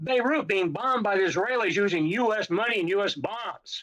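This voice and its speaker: A man talks at a moderate pace. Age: 80s+. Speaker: navy veteran. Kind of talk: testimony. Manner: animated.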